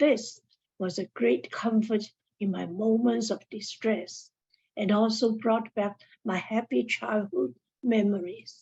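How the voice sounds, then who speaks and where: A woman with a non-native accent speaks at a fairly high pitch. She goes at a very slow pace and sounds somewhat breathy. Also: ordinary pitch variation. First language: not English. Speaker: mental health advocate. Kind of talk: seminar talk.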